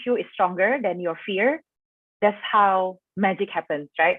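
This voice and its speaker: Intonation runs lively in this voice with an Indonesian accent. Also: woman. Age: 20s. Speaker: expat panel speaker. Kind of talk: online panel talk. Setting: video call livestream. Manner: casual, many fillers.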